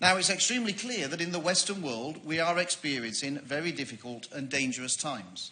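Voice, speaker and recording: This man has a Yorkshire accent and a fairly high pitch. He talks at a moderate pace with ordinary pitch variation. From Yorkshire, northern England. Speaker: member of parliament. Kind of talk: parliamentary debate speech. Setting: parliament debating chamber.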